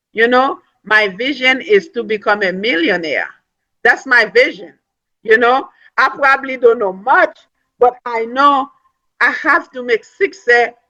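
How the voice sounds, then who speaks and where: A woman with a non-native accent speaks in a high pitch with ordinary pitch variation and a bright, sharp tone. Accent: foreign. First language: not English. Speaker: network marketing speaker, nursing assistant. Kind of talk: motivational business talk. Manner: animated.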